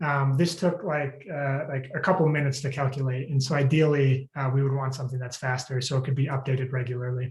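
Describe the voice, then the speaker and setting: Somewhat breathy and fairly quick, the speech has fairly even intonation in a very clean recording with a silent background. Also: man. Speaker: PhD candidate defending thesis. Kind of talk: thesis defense presentation. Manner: fast.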